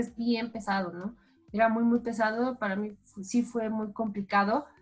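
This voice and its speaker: A woman speaks at a moderate pace in a fairly high voice with flat, monotone intonation, while music plays in the background. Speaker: sports journalist. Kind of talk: casual interview.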